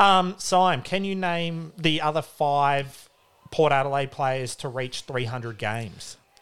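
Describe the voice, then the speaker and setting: A man with an Australian accent speaks at a very slow pace. His voice is fairly high, with ordinary pitch variation. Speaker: podcast co-host, sports talk. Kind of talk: casual banter about sport.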